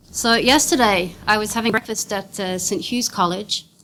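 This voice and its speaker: Speaking at a fairly quick pace with an Australian accent, the voice shows ordinary pitch variation. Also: woman. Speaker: legal counsel and NGO director. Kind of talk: conference presentation. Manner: fast.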